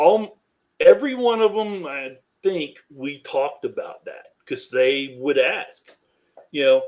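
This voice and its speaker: A man with an American accent, at a fairly slow pace, with big swings in loudness. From US Midwest, Missouri. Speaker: author. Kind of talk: interview. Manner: hesitant, many fillers.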